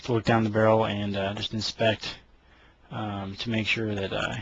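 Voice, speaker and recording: A man's fairly low, somewhat breathy voice, monotone and flat in intonation, at a moderate pace. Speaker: firearms hobbyist. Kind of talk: tutorial. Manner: halting.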